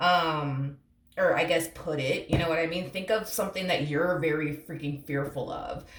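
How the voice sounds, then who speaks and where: A woman talks at a moderate pace with fairly low pitch and ordinary pitch variation. Audible room echo surrounds her voice. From Puerto Rico. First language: Spanish. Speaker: tarot reader. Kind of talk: tarot reading. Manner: casual, rambling with fillers.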